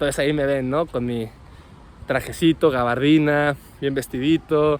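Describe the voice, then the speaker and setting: A man with a normal speaking voice, fairly high in pitch for a man, at a moderate pace with fairly even intonation. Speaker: winemaker and wine podcast host. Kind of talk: casual vlog monologue. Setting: outdoors after a run.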